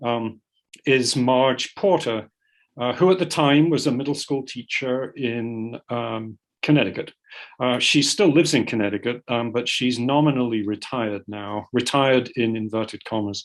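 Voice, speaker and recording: A man's medium-pitched voice with an American accent, moderate pace and ordinary pitch variation, set against a quiet background. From United Kingdom. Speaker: polar scientist. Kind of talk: panel talk. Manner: hesitant, many fillers.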